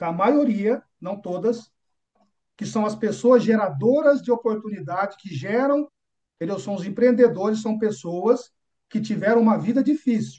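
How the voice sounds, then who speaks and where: A man with a high pitch and a dark, mellow tone talks at a moderate pace, showing ordinary pitch variation and big swings in loudness. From São Paulo, Brazil. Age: 50s. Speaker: business mentor. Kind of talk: motivational talk. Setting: room with audience.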